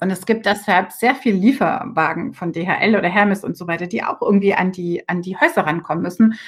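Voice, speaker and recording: Somewhat breathy, the voice moves at a fairly quick pace with hardly any pauses and ordinary pitch variation. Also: woman. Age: 40s. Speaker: member of European Parliament. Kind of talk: interview.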